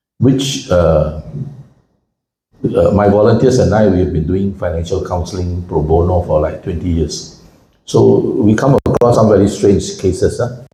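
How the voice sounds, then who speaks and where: A man talks in a fairly low pitch, and the room adds audible echo. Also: ordinary pitch variation, moderate pace. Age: 70s. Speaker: financial commentator and speaker. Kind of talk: public talk. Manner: conversational, engages audience.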